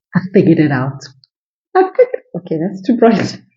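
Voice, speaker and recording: The woman's voice is somewhat breathy. She speaks at a moderate pace. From South Africa. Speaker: motivational vlogger. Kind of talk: casual vlog monologue. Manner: animated. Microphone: cheap Bluetooth microphone.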